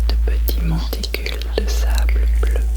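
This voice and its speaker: A woman speaks very slowly in a very deep, low pitch. Noticeable background noise runs underneath. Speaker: ASMR artist performing monologues. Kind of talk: ASMR storytelling performance. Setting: binaural recording. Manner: soft, slow, intimate.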